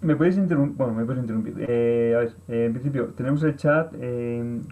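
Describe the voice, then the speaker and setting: Ordinary pitch variation marks a man's dark, mellow voice. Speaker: workshop trainer. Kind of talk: online course presentation. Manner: fast; poorly articulated, halting.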